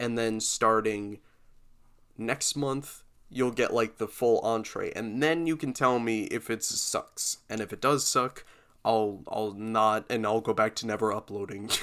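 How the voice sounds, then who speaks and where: A man with a medium pitch speaks at a fairly slow pace and with fairly even intonation, in a very clean recording with a silent background. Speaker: podcast host. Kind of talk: casual solo podcast talk. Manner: sounds depressed in normal speaking voice; rambling, halting.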